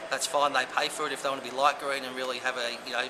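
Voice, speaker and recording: Noticeable background noise sits under a man with an Australian accent talking at a very fast pace and medium pitch. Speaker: marketing manager for a homebuilder. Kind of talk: interview answer.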